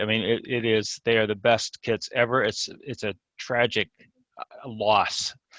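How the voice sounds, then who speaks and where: The sound is dry and close with no echo as a man of medium pitch speaks at a moderate pace. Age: 60s. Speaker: scale model hobbyist. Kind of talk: casual interview chat. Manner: hesitant, repeats words.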